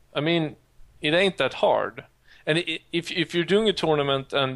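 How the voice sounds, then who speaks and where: At a moderate pace and with ordinary pitch variation, the speaker talks in a Swedish accent. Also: man. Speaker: podcast host. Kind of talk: casual chat. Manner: halting.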